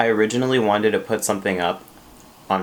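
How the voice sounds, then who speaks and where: A man's quiet, fairly low-pitched voice at a fairly quick pace, with fairly even intonation over noticeable background noise. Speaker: YouTuber. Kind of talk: mukbang eating video monologue. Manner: quiet, low volume; casual, filler words.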